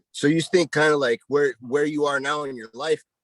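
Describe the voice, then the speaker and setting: An ordinary speaking voice from a man, fairly high in pitch and fairly quick, with a dry, close sound and no echo. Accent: American. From Montana, US. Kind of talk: casual interview chat.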